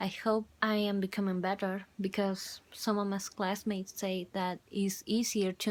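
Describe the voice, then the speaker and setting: A woman with a Spanish accent speaks at a fairly slow pace in a medium pitch, her intonation flat and monotone, on a very clean recording with a silent background. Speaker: university student. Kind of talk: video journal. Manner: halting.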